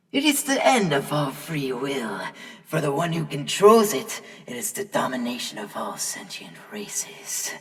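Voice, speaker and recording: A put-on character voice that sounds female, pitched very deep and low for a woman. The pace is moderate. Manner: grandiose, zealous.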